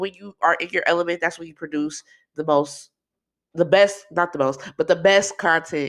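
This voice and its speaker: A woman speaks at a moderate pace with a fairly low pitch and an animated tone. The recording is very clean, with a silent background. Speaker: podcast host. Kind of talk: casual solo podcast monologue. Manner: animated, chatty.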